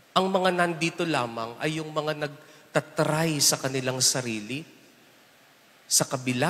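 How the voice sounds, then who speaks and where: The voice belongs to a man. Pitch variation is ordinary. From Philippines. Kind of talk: homily at Mass, preacher talking to the congregation with humor and everyday examples. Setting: church, Mass with congregation. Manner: animated, conversational, teasing the congregation with rhetorical questions; switches between Tagalog and English, warm and humorous. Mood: earnest, lightly humorous. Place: church. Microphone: handheld.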